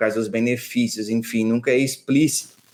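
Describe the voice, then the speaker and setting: At a moderate pace, a man talks in a southern Brazilian accent. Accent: gaúcho (southern Brazilian). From Rio Grande do Sul, Brazil (São Borja, western border). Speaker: financial planner, former bank manager. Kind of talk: podcast interview.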